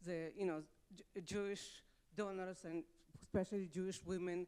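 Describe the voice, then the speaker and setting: The speech comes at a fairly slow pace. It carries a Russian accent. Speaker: audience member. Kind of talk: audience comment at a symposium. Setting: symposium panel with audience.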